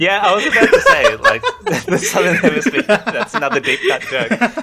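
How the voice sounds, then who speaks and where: A man speaks with a slight Australian accent over noticeable background noise. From Australia, Sydney. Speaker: graphic designer and streamer. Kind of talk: interview.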